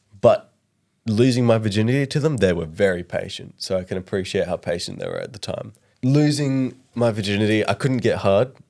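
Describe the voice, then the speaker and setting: Recorded very cleanly over a silent background, a man with an Australian accent speaks at a fairly quick pace. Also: medium pitch for a man, ordinary pitch variation. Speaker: comedy podcast co-host. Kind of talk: casual chat.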